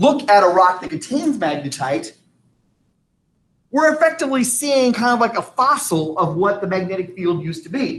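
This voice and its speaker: A man speaks with very wide pitch swings. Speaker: science teacher. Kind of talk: lecture.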